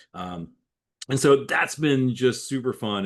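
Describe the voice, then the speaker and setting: A moderately paced male speaker, quiet background. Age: 50s. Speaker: cycling coach and author. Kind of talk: webinar interview. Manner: repetitive, halting starts.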